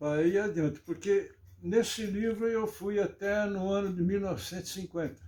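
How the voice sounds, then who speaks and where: A dark, mellow tone at a moderate pace, with fairly even intonation. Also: man, high pitch for a man. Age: 80s+. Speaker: local historian. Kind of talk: interview.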